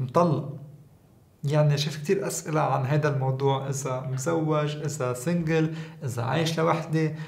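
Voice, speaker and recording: There is audible room echo as a man with a fairly high pitch talks at a fairly slow pace with fairly even intonation. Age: 30s. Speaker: skincare content creator. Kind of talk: casual vlog talk to camera. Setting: at home. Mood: playful, amused. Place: studio.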